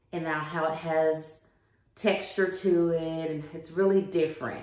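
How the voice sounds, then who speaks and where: Audible room echo surrounds a woman whose fairly low voice keeps a fairly even intonation. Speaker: home decor vlogger. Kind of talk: casual vlog chat. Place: home room. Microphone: phone near.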